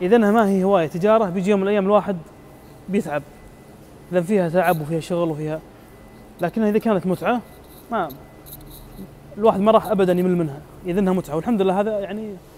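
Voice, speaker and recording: A high-pitched man talking very fast with fairly even intonation, light background noise behind him. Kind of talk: casual live-stream tour chat. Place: garage. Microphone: earbuds.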